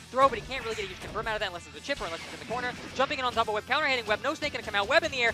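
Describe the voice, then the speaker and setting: Music sits underneath the voice. The words come very fast. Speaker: esports commentator. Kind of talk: live commentary. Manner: stuttering a bit; animated.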